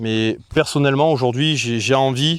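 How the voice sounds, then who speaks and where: Against a quiet background, a man at a medium pitch speaks with a southern French accent. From Marseille. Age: 30s. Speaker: streamer. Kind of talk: casual vlog talk to camera. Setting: outdoors.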